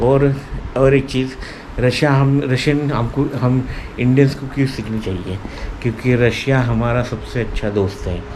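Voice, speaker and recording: With a Marathi accent, a man speaks at a medium pitch with fairly even intonation amid noticeable background noise and audible room echo. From India, Marathi-speaking (Maharashtra). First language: Marathi (speaking Hindi). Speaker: language learning vlogger. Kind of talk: informal explainer vlog. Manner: hesitant, many fillers.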